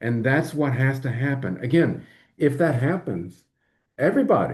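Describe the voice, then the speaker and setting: A man's somewhat breathy, medium-pitched voice with an American accent, lively intonation and a moderate pace, against a quiet background. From US, rural. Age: 60s. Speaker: lawyer. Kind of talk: live-stream monologue. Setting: live stream.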